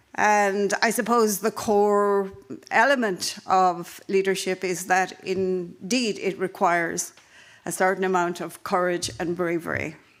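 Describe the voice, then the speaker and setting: In an Irish accent, a woman speaks at a medium pitch and a fairly slow pace with fairly even intonation. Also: very clean recording, silent background. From Ireland. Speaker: panel chair at a conference. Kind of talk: conference panel introduction. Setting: conference in Helsinki.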